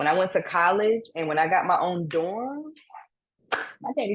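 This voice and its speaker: A woman with an American accent speaks at a medium pitch in an animated tone, her pitch swinging very widely. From Maryland, Prince George's County (DC area). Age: 30s. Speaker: musician. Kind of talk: interview.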